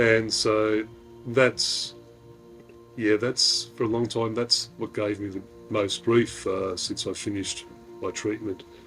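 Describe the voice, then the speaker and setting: Over music in the background, a man with an Australian accent speaks at a very slow pace in a fairly low, monotone, flat voice, with long, frequent pauses. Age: 50s. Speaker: retired deep sea diver, cancer patient. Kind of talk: interview answer.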